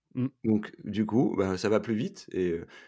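Fairly low in pitch, a man's voice carries a dark, mellow tone and ordinary pitch variation. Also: very clean recording, silent background. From northern France, Roubaix. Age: 40s. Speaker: entrepreneur and charity founder. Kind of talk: podcast interview.

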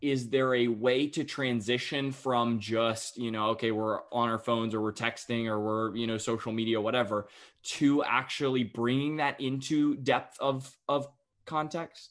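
Against a quiet background, a man with an American accent speaks at a moderate pace. He has an unremarkable speaking voice, medium in pitch, with fairly even intonation. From North Carolina (Cary, near Raleigh). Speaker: podcast host. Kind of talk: interview conversation.

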